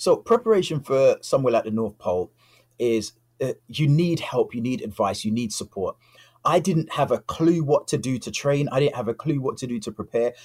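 Lively intonation in a somewhat breathy voice, with dry, close sound and no echo. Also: man. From London, England. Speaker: polar explorer. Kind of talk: interview.

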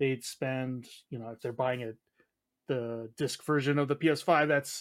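With an American accent, a man speaks in a normal speaking voice at a moderate pace with fairly even intonation. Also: very clean recording, silent background. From United States. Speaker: games journalist. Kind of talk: casual chat.

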